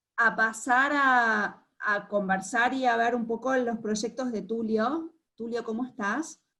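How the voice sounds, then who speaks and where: A bright, sharp tone with fairly even intonation, a very slow pace and hardly any pauses. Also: woman, fairly high pitch for a woman. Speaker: art curator moderating artist talk. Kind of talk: panel conversation. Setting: video call. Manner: halting.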